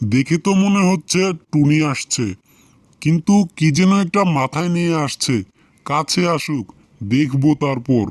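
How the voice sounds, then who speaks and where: A man doing a cartoonish character voice with a fairly high pitch. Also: fairly slow pace. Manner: sly, wheedling.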